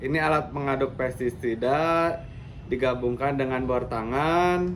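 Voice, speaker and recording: Audible room echo surrounds a man at a medium pitch. He speaks at a fairly slow pace with fairly even intonation. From West Java, Bandung Regency. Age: 30s. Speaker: farmer. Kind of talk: demonstration.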